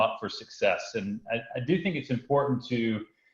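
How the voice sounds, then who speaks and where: A man's voice sits at a medium pitch. It sounds somewhat breathy. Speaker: software business executive. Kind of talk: webinar presentation. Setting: webinar. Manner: hesitant, many fillers.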